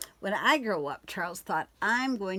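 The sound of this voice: An unforced reading voice carries the words.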